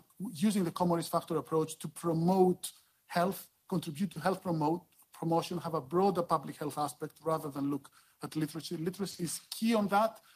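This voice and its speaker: A moderate pace in a Greek accent. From Greece. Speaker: dental public health expert. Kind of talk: conference talk. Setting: conference panel. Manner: halting.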